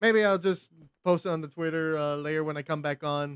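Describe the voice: Dry and close with no echo, the voice has a clear, smooth tone, a fairly quick pace and ordinary pitch variation.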